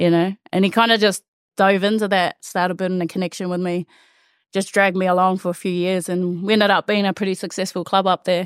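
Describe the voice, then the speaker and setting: A woman talks in a New Zealand accent at a very fast pace. Her intonation is monotone and flat. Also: medium pitch for a woman. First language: Māori. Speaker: rugby player. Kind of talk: casual chat.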